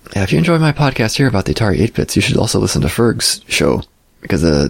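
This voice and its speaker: A man's very deep, low voice at a very fast pace, with very wide pitch swings over noticeable background noise. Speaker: podcast host. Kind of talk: solo podcast monologue.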